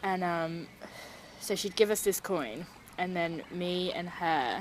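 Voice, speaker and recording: Noticeable background noise sits behind a woman with a British accent, whose fairly low voice shows ordinary pitch variation. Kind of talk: personal story told to interviewer. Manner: casual, hesitant, many fillers.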